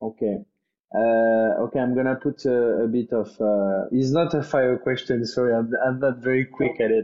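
A man speaks with very even loudness. His pitch varies in an ordinary way. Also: medium pitch for a man, moderate pace. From France. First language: French. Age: 20s. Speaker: executive chef. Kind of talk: interview.

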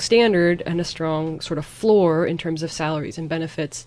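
In a plain, everyday voice, a woman with an American accent talks at a moderate pace, her fairly low pitch showing ordinary variation. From US Pacific Northwest. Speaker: Spanish teacher. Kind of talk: casual chat.

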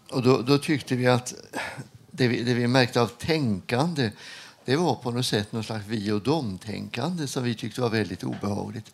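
A man with a plain, everyday voice talks at a moderate pace, his pitch medium and its variation ordinary. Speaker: retired hospital chaplain. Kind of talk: interview. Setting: studio with live audience.

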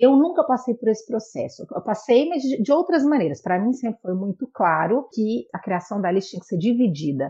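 A woman with a fairly high pitch speaks at a fairly quick pace in a somewhat breathy voice, her intonation lively. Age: 30s. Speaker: photographer. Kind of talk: casual chat.

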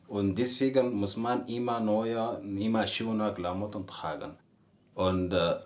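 A man speaks with an Arabic accent in a fairly low voice. His pace is very slow. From Sudan. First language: Arabic (speaking German). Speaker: university student. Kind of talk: interview. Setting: indoors in host's apartment, windows closed. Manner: halting, many repetitions and fillers.

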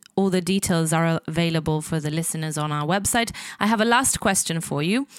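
Heard on a very clean recording with a silent background, a woman has a normal speaking voice with ordinary pitch variation. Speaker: podcast host. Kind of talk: interview.

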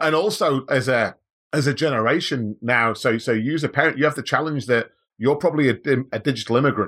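A man at medium pitch and a very fast pace, with very even loudness, in a very clean recording with a silent background. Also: ordinary pitch variation. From Manchester, England. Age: 40s. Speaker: business leader. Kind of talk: podcast interview.

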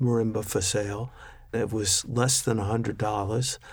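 A plain, everyday voice speaks at a moderate pace with fairly even intonation. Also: man. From Washington, D.C. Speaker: timpanist. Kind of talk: interview conversation.

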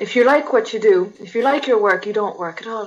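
A woman at a medium pitch speaks fairly quickly, with ordinary pitch variation and a slightly husky edge.

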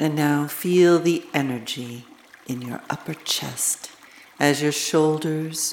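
Over noticeable background noise, the speaker talks at a very slow pace in a gentle, calm tone. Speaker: meditation guide. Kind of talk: guided meditation. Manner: slow, calm, soothing; gentle, measured, with long pauses.

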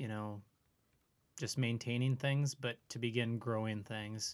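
An Upper Midwest accent at a fairly slow pace. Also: man. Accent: Upper Midwest (Minnesota). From central Minnesota (Brainerd area). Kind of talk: casual interview conversation. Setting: podcast recording.

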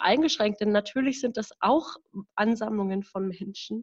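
This woman has an ordinary speaking voice, fairly high in pitch, delivered at a moderate pace. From Berlin, Germany. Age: 20s. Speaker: staff member of a democracy advocacy group. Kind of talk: casual podcast conversation. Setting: at home in her apartment.

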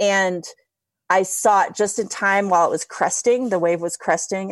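A woman speaks in an unremarkable speaking voice with an American accent and ordinary pitch variation, on a very clean recording with a silent background. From Ohio. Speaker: stand up paddleboarding pioneer and fitness coach. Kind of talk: casual chat.

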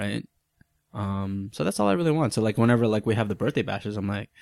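A man talks in a fairly low voice with ordinary pitch variation. The recording is dry and close, without echo. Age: 30s. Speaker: aspiring actor, podcast guest. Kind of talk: casual chat. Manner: halting, many fillers and repeats.

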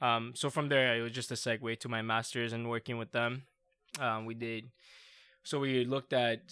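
A man speaks in an Iranian accent with a bright, sharp tone and monotone, flat intonation. The recording is very clean with a silent background. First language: Farsi. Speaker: PhD researcher in parasport. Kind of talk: casual chat.

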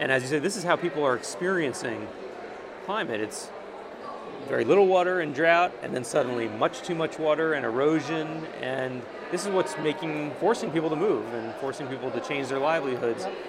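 A man talks at a fairly quick pace with a fairly high pitch and ordinary pitch variation. Noticeable background noise is present. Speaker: interviewer, editor. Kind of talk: interview. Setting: noisy conference venue.

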